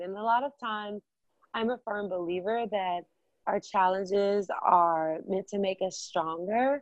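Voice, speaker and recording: Recorded with a dry, close sound and no echo, a woman speaks at a fairly slow pace with ordinary pitch variation. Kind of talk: interview about self love.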